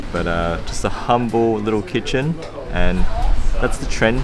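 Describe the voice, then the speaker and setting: A man with an Australian accent speaks at a moderate pace with lively intonation. Music plays in the background, and the room echo is audible. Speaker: food travel vlogger. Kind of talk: casual food vlog commentary. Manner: animated.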